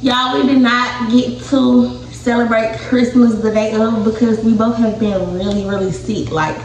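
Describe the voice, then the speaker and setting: A woman talks amid audible room echo and a light layer of background noise. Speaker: mother vlogger. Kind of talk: casual vlog chat. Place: home room. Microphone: phone near.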